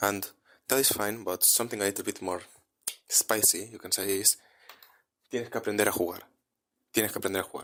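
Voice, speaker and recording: A man with a Spanish accent and a fairly low pitch at a very fast pace, broken by long, frequent pauses, in a very clean recording with a silent background. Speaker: language teacher. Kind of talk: tutorial. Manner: casual, animated.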